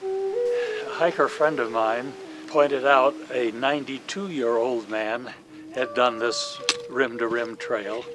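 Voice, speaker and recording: The man talks at a very slow pace. Noticeable background noise runs behind him. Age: 80s+. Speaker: hiker. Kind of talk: documentary narration and talk to camera.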